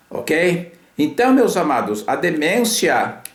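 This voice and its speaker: A man's fairly high voice at a very slow pace, with very wide pitch swings, audible room echo and noticeable background noise. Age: 70s. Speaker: physician and health lecturer. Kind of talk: lecture. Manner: hesitant, with filler sounds.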